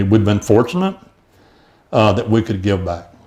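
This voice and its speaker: The voice has an East Texas accent and a dark, mellow tone. It moves at a fairly quick pace. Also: man. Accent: East Texas Southern US. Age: 70s. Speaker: mayoral candidate. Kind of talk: interview. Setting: studio. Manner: halting, many fillers and repetitions.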